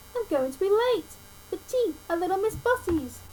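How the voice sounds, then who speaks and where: A woman puts on a squeaky character voice at an extremely high pitch, with very wide pitch swings. She keeps a moderate pace over clear background noise. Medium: read story.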